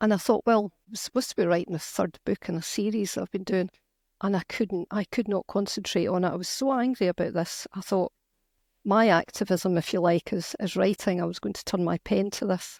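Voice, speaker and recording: In a very clean recording with a silent background, a woman talks at a fairly quick pace with fairly even intonation and a medium pitch. The sound is dry and close, with no echo. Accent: Scottish. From Scotland. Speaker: novelist and activist. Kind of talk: interview conversation.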